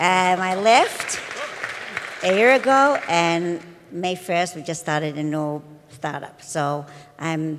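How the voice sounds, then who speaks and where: A woman speaks at a fairly low pitch with ordinary pitch variation. Audible room echo surrounds her voice. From Israel. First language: Hebrew. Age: 50s. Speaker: edtech entrepreneur. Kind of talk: conference talk.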